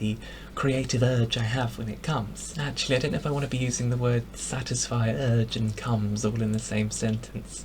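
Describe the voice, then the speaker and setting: Over noticeable background noise, a man with an English accent speaks fairly quickly at a medium pitch. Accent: posh English (RP). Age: 20s. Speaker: vlogger. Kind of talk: casual vlog monologue. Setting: home bedroom.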